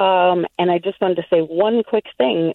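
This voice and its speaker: With an American accent, a woman talks in a normal speaking voice at medium pitch, moderate pace and ordinary pitch variation. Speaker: high school teacher. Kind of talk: call-in comment. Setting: phone call.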